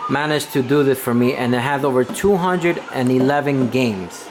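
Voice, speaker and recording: Amid noticeable background noise, a man with a fairly high pitch speaks with ordinary pitch variation. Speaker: YouTuber. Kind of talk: casual tour vlog. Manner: fast; hesitant fillers.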